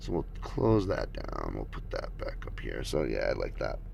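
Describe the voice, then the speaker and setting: A man speaks with audible room echo. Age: 50s. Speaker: skateboarding vlogger. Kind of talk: casual livestream talk. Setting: livestream with camera mic. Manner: casual, halting with fillers.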